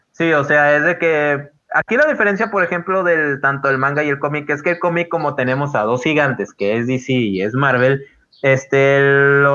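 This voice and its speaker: Bright and sharp in tone, a man speaks in a fairly high pitch at a moderate pace, his pitch varying in an ordinary way. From Guadalupe, Monterrey area, Mexico. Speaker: podcast co-host. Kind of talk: casual chat. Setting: online voice call.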